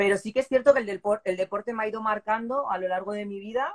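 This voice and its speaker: A woman talks at a fairly quick pace in an unremarkable speaking voice, with ordinary pitch variation and a dry, close sound with no echo. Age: 40s. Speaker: CrossFit athlete and new police officer. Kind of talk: interview.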